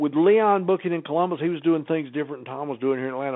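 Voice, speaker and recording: At a very fast pace, a man talks with a Southern US accent and ordinary pitch variation. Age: 70s. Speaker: former wrestling personality, podcast guest. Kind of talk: casual interview chat. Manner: halting, repetitive starts.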